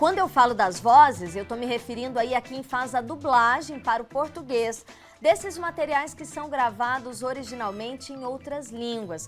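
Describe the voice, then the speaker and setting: With music in the background, a woman speaks at a fairly slow pace in a high voice. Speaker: TV presenter. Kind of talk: TV interview host talk.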